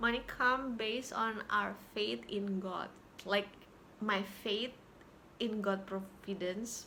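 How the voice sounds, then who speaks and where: A woman talks at a very slow pace with long, frequent pauses and fairly even intonation. Room echo is audible. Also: medium pitch for a woman. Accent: Indonesian. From Indonesia, Jakarta. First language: Indonesian. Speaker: YouTuber sharing healing experiences. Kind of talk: personal vlog talk. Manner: halting, with repetitions.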